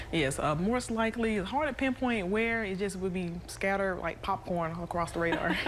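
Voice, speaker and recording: A woman speaks at a fairly quick pace with a medium pitch and ordinary pitch variation, over noticeable background noise. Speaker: television meteorologist. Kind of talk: studio anchor banter with co-anchors.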